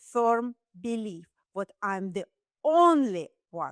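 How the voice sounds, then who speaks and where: A woman with a Russian accent talks in a fairly high pitch and lively intonation, the sound dry and close with no echo. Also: very clean recording, silent background. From Russia, Saint Petersburg. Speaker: dentist. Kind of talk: podcast interview.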